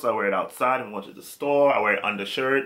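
Bright, sharp male voice with an American accent and ordinary pitch variation. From US, New York (Brooklyn); New York. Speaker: fashion vlogger. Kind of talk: casual vlog tutorial. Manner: halting.

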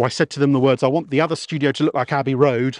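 Someone with a southern English accent speaks in a dry sound with no echo against a quiet background. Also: man. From Kent, southeast England; southeast England. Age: 40s. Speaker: radio presenter. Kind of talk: casual chat. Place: open country. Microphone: lapel.

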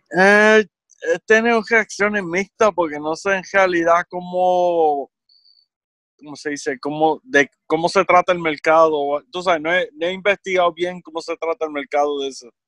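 A man's high, bright and sharp voice with ordinary pitch variation, at a fairly slow pace, dry with no echo against a quiet background. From Puerto Rico, central region. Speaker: podcast guest. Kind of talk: casual chat. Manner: halting. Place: home room. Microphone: studio mic.

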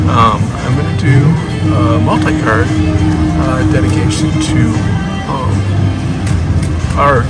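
A man speaks with long, frequent pauses. Loud music plays in the background. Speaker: keno vlogger. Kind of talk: casual vlog chat. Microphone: phone near.

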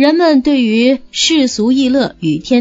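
This woman talks at a high pitch. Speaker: audiobook narrator. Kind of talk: reading aloud.

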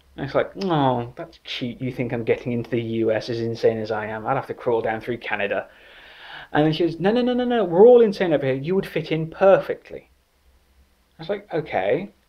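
With an English accent, a man talks at a fairly quick pace in a fairly high pitch, making very wide pitch swings over a quiet background. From England. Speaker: writer. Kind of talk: comedic anecdote told to camera. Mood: joking, playful storytelling. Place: home room. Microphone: phone near.

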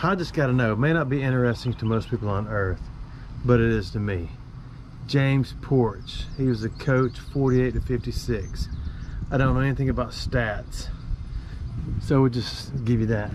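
Long, frequent pauses break up a man's speech, which has ordinary pitch variation and a dry sound with no echo over noticeable background noise. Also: moderate pace. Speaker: explorer vlogger. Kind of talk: casual vlog chat. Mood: wry, relaxed. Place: street. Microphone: phone near.

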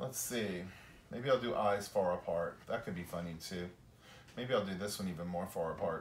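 At a moderate pace and with ordinary pitch variation, the voice carries audible room echo over light background noise. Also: man, fairly low pitch for a man. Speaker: teacher of puppet drawing. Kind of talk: tutorial. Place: garage. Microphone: camera far.

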